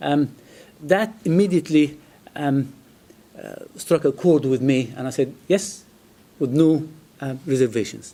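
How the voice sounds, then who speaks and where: Speaking with an Arabic accent, a man has a fairly high pitch and lively intonation. He moves at a fairly slow pace. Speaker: physics lecturer. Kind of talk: speech. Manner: halting.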